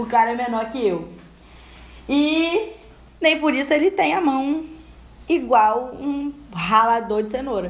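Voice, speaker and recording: Very slowly and with long, frequent pauses, a woman speaks at a high pitch with very wide pitch swings, and audible room echo fills the recording. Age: 20s. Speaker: podcast host. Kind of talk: casual chat. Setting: at home.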